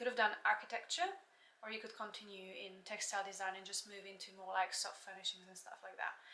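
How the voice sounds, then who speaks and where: Very fast and bright with a sharp tone, a woman speaks at a medium pitch in monotone, flat intonation. Her loudness swings widely. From Slovakia, near the Hungarian border. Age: 20s. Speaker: yoga teacher. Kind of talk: casual vlog chat. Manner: halting, with frequent fillers.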